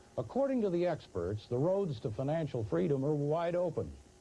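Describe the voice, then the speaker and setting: A man's lively, varied intonation moves at a moderate pace while music plays in the background. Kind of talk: infomercial narration, promotional announcer read.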